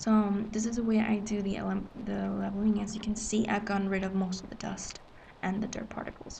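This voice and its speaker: A woman whispers quietly at a fairly quick pace. Noticeable background noise runs underneath. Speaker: manga scanlation editor. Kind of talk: screen-recorded software tutorial. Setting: public facility. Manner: whispered, quiet.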